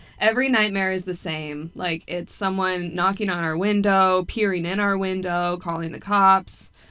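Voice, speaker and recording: The voice is loud, with a bright, sharp tone and fairly even intonation. It moves at a moderate pace with hardly any pauses in a very clean recording with a silent background. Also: woman, medium pitch for a woman. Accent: American. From United States. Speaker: podcast co-host, military veteran. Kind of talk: casual chat.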